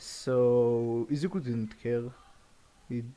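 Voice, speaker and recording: A man at a medium pitch with a non-native accent, a dark, mellow tone and fairly even intonation. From Europe. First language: not English. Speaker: fan fiction storyteller. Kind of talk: casual improvised storytelling. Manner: halting, many restarts and fillers.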